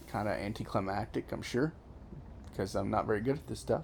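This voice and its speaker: A man speaks at a medium pitch with noticeable vocal fry. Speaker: gaming video creator. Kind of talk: gameplay commentary. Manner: casual, halting with self-corrections.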